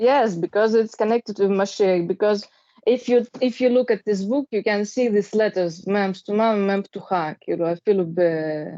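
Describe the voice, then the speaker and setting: Speaking with a Russian accent, a woman has a dark, mellow tone at a medium pitch, a moderate pace and ordinary pitch variation. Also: dry, close sound with no echo. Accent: Russian accent in Hebrew. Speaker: study group participant. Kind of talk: group study discussion. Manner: halting.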